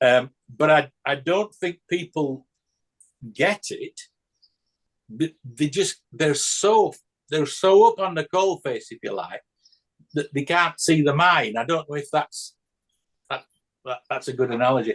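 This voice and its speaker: Speaking with a British accent at a fairly slow pace, the voice leaves long, frequent pauses, has ordinary pitch variation, and sounds dry and close with no echo. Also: man, fairly high pitch for a man. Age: 60s. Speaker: church discussion participant. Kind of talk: group discussion on video call. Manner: halting, many repetitions and fillers.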